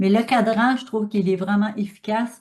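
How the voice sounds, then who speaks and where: Somewhat breathy and dark, mellow in tone, a woman speaks at a moderate pace and medium pitch with fairly even intonation. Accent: Quebec. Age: 60s. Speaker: speaker on pranic living. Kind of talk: talk with audience questions. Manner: halting, many fillers.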